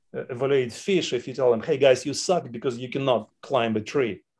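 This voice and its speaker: A man speaks in a Russian accent. His pitch is medium and his pace moderate. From Chechnya, Soviet Union. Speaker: entrepreneur and parent of a tech founder. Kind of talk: casual interview.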